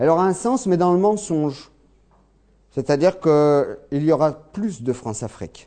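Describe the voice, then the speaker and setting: At a fairly slow pace, a man with a fairly high pitch and a dark, mellow tone speaks with lively intonation. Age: 40s. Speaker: agricultural technician and lecturer. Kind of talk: lecture.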